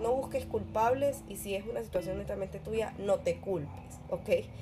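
At a moderate pace, the speaker talks while noticeable background noise plays underneath. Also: woman. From Ecuador, Guayaquil. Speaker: podcast host. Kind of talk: personal reflection monologue. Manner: animated.

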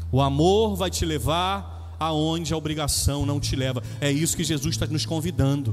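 The voice is animated, with very wide swings in pitch, moving at a moderate pace. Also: man, medium pitch for a man, hardly any pauses. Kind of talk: homily. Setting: church, Mass. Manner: animated, jokey; conversational, direct.

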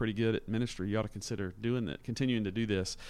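This man has a normal speaking voice at a medium pitch. His intonation stays fairly even. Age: 40s. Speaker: church leader working with young adults. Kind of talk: casual interview chat.

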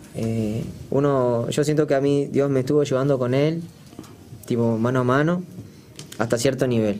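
Over music in the background, a man with a medium-pitched voice talks at a fairly slow pace with fairly even intonation, and room echo is audible. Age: 20s. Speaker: singer. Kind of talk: casual chat.

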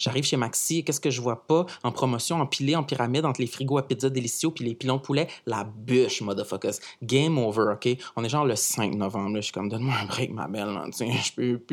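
A man with a medium-pitched voice talks in an animated way at a very fast pace, on a very clean recording with a silent background. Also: ordinary pitch variation. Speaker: podcast columnist. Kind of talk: comic monologue. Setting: studio.

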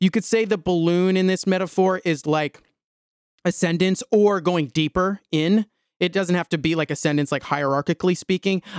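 A man with a high pitch speaks at a moderate pace, his intonation fairly even and his loudness very even. The recording is very clean with a silent background, and the sound is dry and close with no echo. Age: 20s. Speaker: solo spiritual podcaster. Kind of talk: solo monologue, stream of consciousness. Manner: casual, frequent fillers and restarts.

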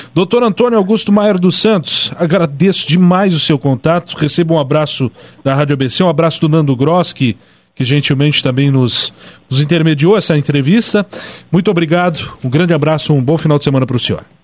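A man talks at a fairly quick pace with fairly high pitch, ordinary pitch variation and very even loudness. It is an ordinary speaking voice. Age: 20s. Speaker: radio host. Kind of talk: radio interview.

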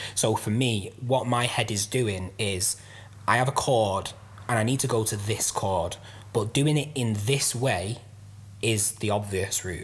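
A man with a Mancunian accent speaks at a fairly slow pace and a fairly low pitch. His voice is somewhat breathy, with ordinary pitch variation. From south Manchester, England. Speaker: rapper and music producer. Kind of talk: casual chat.

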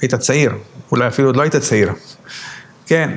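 There is noticeable background noise behind a man's voice. He speaks at a medium pitch with fairly even intonation. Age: old. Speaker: rabbi. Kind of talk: interview. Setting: at home.

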